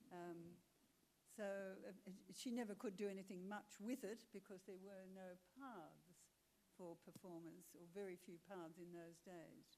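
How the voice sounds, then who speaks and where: Speaking at a fairly slow pace with long, frequent pauses, a woman with an Australian accent has a dark, mellow tone and ordinary pitch variation. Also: medium pitch for a woman. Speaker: actor and singer. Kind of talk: panel talk.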